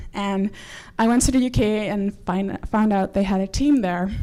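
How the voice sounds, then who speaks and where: In a Dutch accent, a woman speaks with a dark, mellow tone and fairly even intonation. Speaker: quidditch player and organiser. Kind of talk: presentation talk. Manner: fast.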